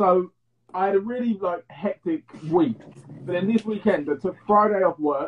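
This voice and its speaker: A man with an English accent talks at a moderate pace, his pitch high with ordinary variation. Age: 20s. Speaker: podcast host. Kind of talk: casual chat.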